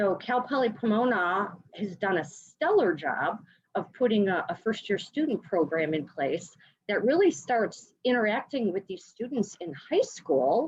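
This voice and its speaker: In a Chicago accent, a woman talks at a fairly slow pace. Her medium-pitched voice makes very wide pitch swings. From US Midwest, Chicago. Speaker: education sales partner. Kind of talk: interview. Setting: video call.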